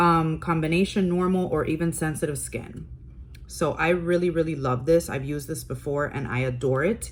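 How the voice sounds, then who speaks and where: Somewhat breathy woman with a very deep, low pitch, moderate pace. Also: ordinary pitch variation. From Cuban heritage. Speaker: beauty youtuber. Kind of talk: product review / unboxing.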